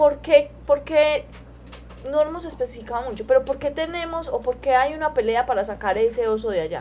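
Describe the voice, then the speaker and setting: At a fairly quick pace, a woman speaks in a high pitch with lively intonation. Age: 20s. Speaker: radio host and animal welfare director. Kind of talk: radio talk show.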